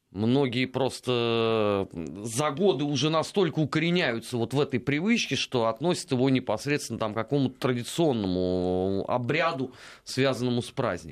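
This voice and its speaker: At a moderate pace, a man uses a normal speaking voice with lively intonation. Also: medium pitch for a man. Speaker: radio host. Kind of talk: casual chat. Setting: studio.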